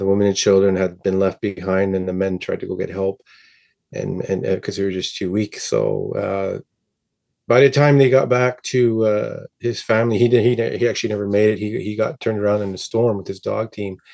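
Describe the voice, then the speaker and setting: A man talks fairly quickly in a fairly low, dark, mellow voice. His intonation stays fairly even over a quiet background. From northern Ontario, Cree First Nation community. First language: Cree. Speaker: musician. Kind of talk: interview. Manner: halting, many fillers and repeats.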